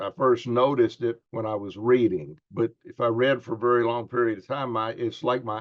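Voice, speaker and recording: A man talks at a moderate pace. His pitch is medium and varies in an ordinary way. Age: 60s. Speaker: preacher and patient. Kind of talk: testimony. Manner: halting, with many fillers.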